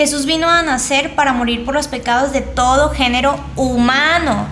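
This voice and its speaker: Spoken with a Mexican accent and ordinary pitch variation, the clip carries noticeable background noise and audible room echo. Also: woman. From Mexico. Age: 20s. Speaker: theology student and Bible teacher. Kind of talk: casual religious discussion.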